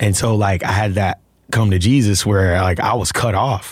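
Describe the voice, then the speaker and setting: A man with an American accent, fairly low in pitch and somewhat breathy, with fairly even intonation, in a very clean recording with a silent background. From Alabama, US South. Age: 30s. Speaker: actor. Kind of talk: casual interview chat.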